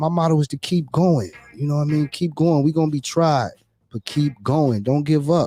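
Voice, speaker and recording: A man's fairly high voice carries a dark, mellow tone and fairly even intonation in a dry, close sound with no echo. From US, California, Atlanta and Miami. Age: 40s. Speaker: entrepreneur and rapper. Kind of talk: casual interview. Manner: fast.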